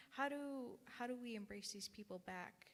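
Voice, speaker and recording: This woman talks fairly quickly, and her voice is somewhat breathy. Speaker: congregant. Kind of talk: panel discussion.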